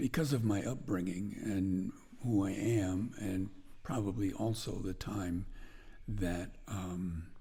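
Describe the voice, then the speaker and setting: With an American accent, a man talks at a very slow pace in a dark, mellow, somewhat breathy tone, with audible room echo. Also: fairly low pitch for a man, ordinary pitch variation. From northwestern Connecticut, US. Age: 80s+. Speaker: blacksmith. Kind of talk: interview.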